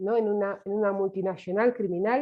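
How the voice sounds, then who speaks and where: Speaking at a moderate pace, a woman with a Romanian accent keeps a medium pitch and fairly even intonation. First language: Romanian (speaking Spanish). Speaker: survivor activist lecturer. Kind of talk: lecture. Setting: online webinar. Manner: hesitant, many fillers.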